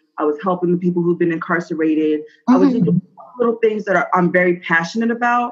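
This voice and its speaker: Speaking very fast with an American accent, a woman uses a fairly low pitch, ordinary pitch variation and very even loudness. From New Jersey. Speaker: business owner. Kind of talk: interview. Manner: casual, with many fillers.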